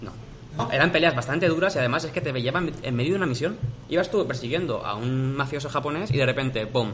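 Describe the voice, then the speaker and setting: Talking at a very fast pace, a man with a fairly high pitch is heard with audible room echo. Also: ordinary pitch variation. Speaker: videogame podcast host. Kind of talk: casual chat.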